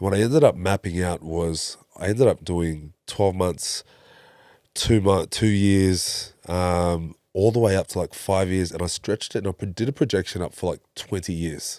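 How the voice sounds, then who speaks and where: On a very clean recording with a silent background and a dry, close sound with no echo, a man speaks at a moderate pace in a very deep, low pitch with a dark, mellow tone and ordinary pitch variation. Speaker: breathwork facilitator. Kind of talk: interview.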